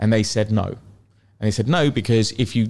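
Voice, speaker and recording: On a very clean recording with a silent background, a man with a London accent talks at a moderate pace and a medium pitch. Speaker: luxury property agent. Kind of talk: podcast interview. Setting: studio.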